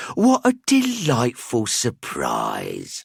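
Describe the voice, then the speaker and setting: A man's high-pitched put-on character voice, dry and close with no echo. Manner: smooth, greeting.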